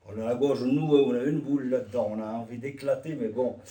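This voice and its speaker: A man speaks at a moderate pace with a dark, mellow tone, a somewhat breathy quality and a medium pitch. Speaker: immigrant witness. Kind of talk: testimony. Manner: halting.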